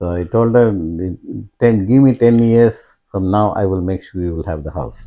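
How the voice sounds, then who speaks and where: Speaking at a moderate pace with an Indian accent, a man uses a fairly low pitch, a dark, mellow tone and ordinary pitch variation. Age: old. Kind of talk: interview answer.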